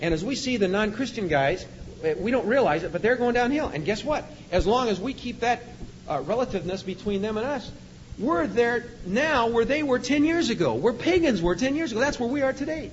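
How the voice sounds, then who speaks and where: Over noticeable background noise and audible room echo, a man with an extremely high pitch speaks in an animated tone with very wide pitch swings. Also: moderate pace. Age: 50s. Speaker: police officer. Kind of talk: sermon.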